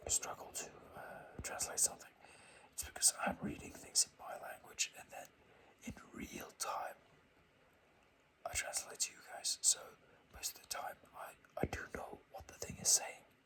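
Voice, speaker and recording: Whispering with a non-native accent, the speaker keeps a moderate pace. Long pauses come often. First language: not English. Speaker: ASMR finance video creator. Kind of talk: casual stock review talk. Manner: halting, many fillers.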